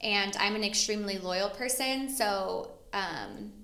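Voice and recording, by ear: A woman speaks at a fairly slow pace. Her tone is bright and sharp. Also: medium pitch for a woman, ordinary pitch variation.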